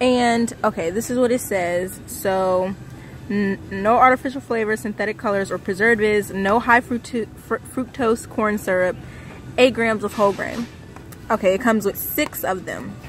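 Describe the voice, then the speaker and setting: A woman with a fairly high pitch speaks at a moderate pace with ordinary pitch variation. Her sound is dry with no echo, with light background noise. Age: 20s. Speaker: vlogger. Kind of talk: casual vlog talk to camera. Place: shop. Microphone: phone near.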